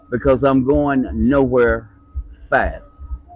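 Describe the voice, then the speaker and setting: The speaker has a Virginia accent. Music plays in the background. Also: man. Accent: US Southern (Virginia). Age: 70s. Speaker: retired machinist. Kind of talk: interview.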